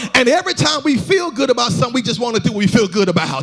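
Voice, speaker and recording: Noticeable background noise surrounds a man with an extremely high pitch for a man. His tone is energetic, and his pitch swings very widely. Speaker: pastor. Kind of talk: sermon, preaching to a congregation. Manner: energetic, exhortative, call-and-response.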